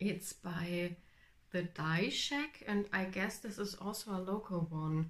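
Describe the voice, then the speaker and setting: A woman with a German accent speaks very slowly in a somewhat breathy, medium-pitched voice with ordinary pitch variation. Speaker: knitting podcaster. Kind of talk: casual vlog chat. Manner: halting, many fillers.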